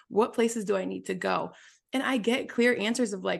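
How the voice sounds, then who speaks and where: A woman talks at a fairly quick pace with vocal fry. The background is quiet. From US Midwest (small-town Wisconsin). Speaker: business mentor and podcaster. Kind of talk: casual interview chat.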